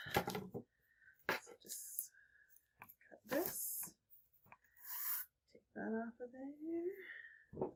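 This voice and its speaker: Soft-spoken and somewhat breathy, a woman's voice swings very widely in pitch. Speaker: furniture refinishing DIY creator. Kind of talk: tutorial. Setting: on porch at night.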